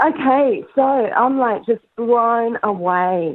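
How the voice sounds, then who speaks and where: A woman with an Australian accent. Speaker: caller. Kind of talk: call-in conversation. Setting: phone call.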